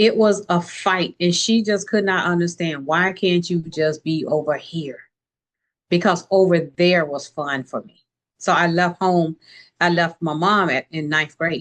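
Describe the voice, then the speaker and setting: At a fairly slow pace, a woman with an American accent speaks at a fairly low pitch with fairly even intonation and big swings in loudness, in a plain, everyday voice. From US South, Tallahassee, Florida. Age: 60s. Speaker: entrepreneur and author. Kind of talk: interview conversation.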